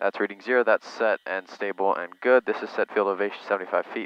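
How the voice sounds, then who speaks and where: An unremarkable speaking voice from a man, fairly low-pitched with fairly even intonation, in a dry sound with no echo. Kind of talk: casual vlog commentary. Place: plane. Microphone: headset.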